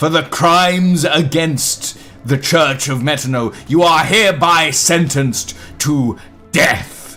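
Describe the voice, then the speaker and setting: Booming at a fairly high pitch, a man puts on a character voice and talks at a fairly slow pace. Faint music plays in the background. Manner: stern, commanding.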